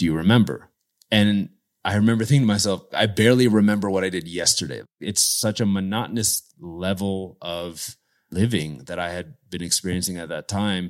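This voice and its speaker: A man's plain, everyday voice with a fairly low pitch, ordinary pitch variation, and a moderate pace. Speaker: world traveler. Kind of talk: interview.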